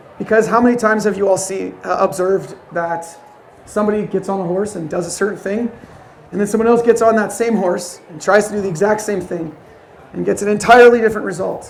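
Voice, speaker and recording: A man at a high pitch, talking at a very fast pace with fairly even intonation, in audible room echo. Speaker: horse trainer. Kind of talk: lecture.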